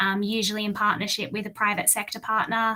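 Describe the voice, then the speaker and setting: A woman's medium-pitched voice with an Australian accent and a bright, sharp tone. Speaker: engineer and infrastructure advisor. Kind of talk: webinar talk. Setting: online webinar.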